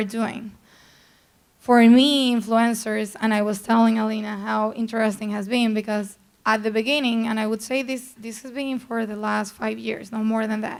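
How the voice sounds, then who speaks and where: In a strong Colombian accent, a woman speaks with a fairly high pitch and monotone, flat intonation. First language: Spanish. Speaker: PR executive. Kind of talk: panel talk.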